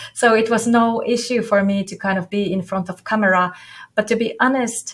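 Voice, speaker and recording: Fairly even intonation marks this speech in a non-native accent. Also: woman, fairly high pitch for a woman, fairly quick pace. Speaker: business coach. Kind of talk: interview. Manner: halting.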